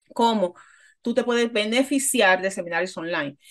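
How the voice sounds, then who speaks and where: An animated woman's voice, fairly high in pitch, with ordinary pitch variation over a quiet background. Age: 40s. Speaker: online marketing youtuber. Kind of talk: tutorial. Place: home room. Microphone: webcam.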